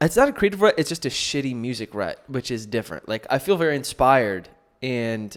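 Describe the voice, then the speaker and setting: A man's intonation is lively as he races along at a very fast pace. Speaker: podcast host and musician. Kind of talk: casual podcast monologue. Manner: loud.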